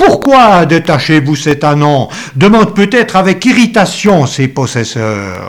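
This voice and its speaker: Very slow speech from a man with a high voice and very wide pitch swings. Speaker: preacher. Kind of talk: sermon. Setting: church. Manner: formal; earnest, measured pulpit delivery.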